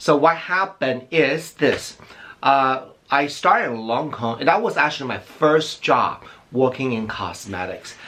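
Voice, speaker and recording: A man speaks at a fairly high pitch. His pace is fairly slow and his intonation lively. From outside the US. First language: not English. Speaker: beauty YouTuber. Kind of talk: personal storytelling vlog. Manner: halting, with restarts.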